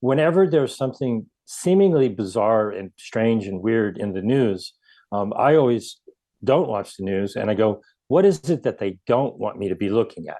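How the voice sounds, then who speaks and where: A man speaks at a moderate pace with a dark, mellow tone, medium pitch and lively intonation. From US Midwest (Ohio). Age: 60s. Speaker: activist. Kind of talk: interview. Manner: hesitant, many fillers.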